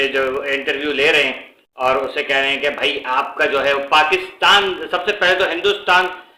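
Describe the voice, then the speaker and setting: With a Pakistani accent, a man speaks at a fairly high pitch in a bright, sharp tone, his intonation fairly even, with audible room echo. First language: Urdu (speaking Hindi). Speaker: YouTuber. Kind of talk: casual commentary vlog. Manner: halting, many fillers.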